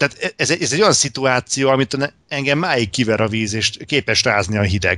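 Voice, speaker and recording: Speaking at a moderate pace with hardly any pauses, a man with a medium pitch and a bright, sharp tone uses lively intonation at very even loudness, in a dry, close recording with no echo and a quiet background. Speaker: podcast host. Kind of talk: casual chat.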